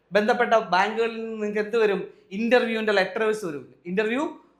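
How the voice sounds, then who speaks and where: A man talks in a high register with ordinary pitch variation, and the room echo is audible. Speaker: exam coaching teacher. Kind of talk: tutorial. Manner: repetitive.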